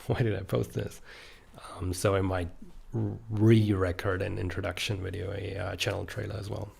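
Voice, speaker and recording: A man's very deep, low voice with vocal fry, fairly even intonation and a moderate pace. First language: German. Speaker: author and YouTuber. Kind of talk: casual podcast monologue. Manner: hesitant, many fillers.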